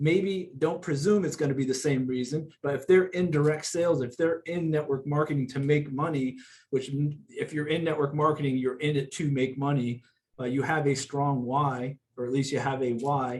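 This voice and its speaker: A man with a fairly high pitch speaks in a somewhat breathy voice with fairly even intonation. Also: moderate pace. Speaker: network marketing company speaker. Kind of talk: corporate call training talk. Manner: halting, many fillers and restarts.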